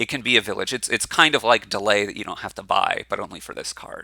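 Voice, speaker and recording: In an American accent, the speaker is heard on a very clean recording with a silent background. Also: man. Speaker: board game content creator. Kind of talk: solo commentary video, game card review. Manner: casual with many fillers and repetitions.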